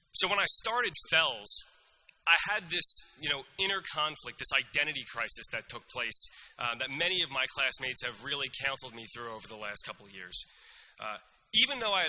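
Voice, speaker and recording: Speaking at a fairly quick pace with a Philadelphia accent, a man uses a fairly high pitch, very wide pitch swings and a bright, sharp tone. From US, Northeast Philadelphia. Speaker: graduating student speaker. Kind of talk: commencement speech. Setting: stage with audience.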